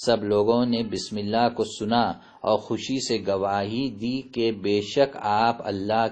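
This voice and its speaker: A man talks in a Deccani accent. His pitch is fairly low and his intonation fairly even. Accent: Dakani Urdu. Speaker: religious preacher. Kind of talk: religious sermon with book reading.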